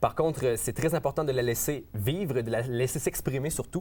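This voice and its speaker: In a Quebec accent, a man speaks at a moderate pace in a somewhat breathy, medium-pitched voice with ordinary pitch variation. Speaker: rapper. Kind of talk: interview. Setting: studio. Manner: hesitant, many fillers.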